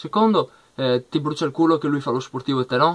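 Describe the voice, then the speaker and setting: Ordinary pitch variation from a male speaker. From Italy. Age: 20s. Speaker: youtuber, football fan commentator. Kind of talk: vlog rant. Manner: animated. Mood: annoyed, confrontational. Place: home room. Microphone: webcam.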